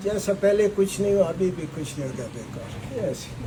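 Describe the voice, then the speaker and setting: Over noticeable background noise, a man with a high pitch speaks with ordinary pitch variation. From Pakistan, Balochistan. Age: 70s. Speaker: lawyer and lawyers' movement leader. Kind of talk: political speech to a gathering. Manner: fiery, passionate, forceful.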